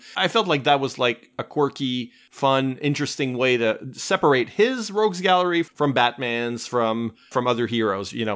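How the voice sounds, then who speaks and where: Using a normal speaking voice, a man speaks at a moderate pace with hardly any pauses. His pitch is medium and his intonation lively. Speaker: podcast host. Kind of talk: casual chat about comics.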